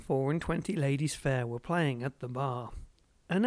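The speaker reads in an unforced voice, and the pitch shifts an ordinary amount.

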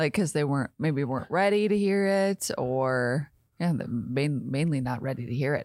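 On a very clean recording with a silent background, a woman speaks at a very deep, low pitch with an animated tone and lively intonation. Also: moderate pace. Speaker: podcast co-host. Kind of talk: casual podcast chat. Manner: laughs often, animated.

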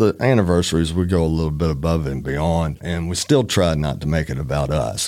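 A very deep, low-pitched man with an Alabama accent, fairly quick with hardly any pauses and ordinary pitch variation. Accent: Southern US (Alabama). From US South, northern Alabama. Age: 50s. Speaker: trial attorney. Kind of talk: casual interview.

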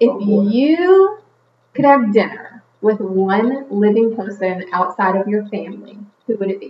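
Her voice is fairly high for a woman, with ordinary pitch variation. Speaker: podcast host. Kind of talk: casual interview chat. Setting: studio.

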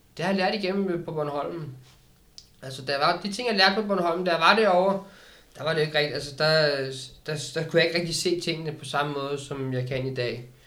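A man with a fairly high pitch talks at a fairly quick pace and ordinary pitch variation, with audible room echo and noticeable background noise. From Denmark, Køge. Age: 30s. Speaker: recovered addict. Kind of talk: casual interview. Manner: halting.

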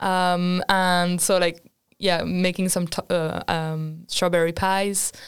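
A woman's fairly low, flat, monotone delivery at a very slow pace, with very even loudness and a very clean recording over a silent background. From France. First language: French. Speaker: international student. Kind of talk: casual chat.

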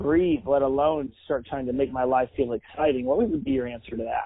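The intonation holds fairly even. It is an ordinary speaking voice. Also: man. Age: 40s. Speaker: podcast host. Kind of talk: casual interview. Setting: video call.

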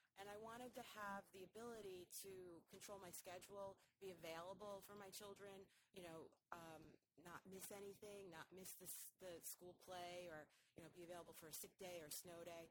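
A woman with an American accent and an unremarkable speaking voice talks at a moderate pace in a medium pitch, her intonation fairly even. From New York, north of New York City. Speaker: event planner and business owner. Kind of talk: interview.

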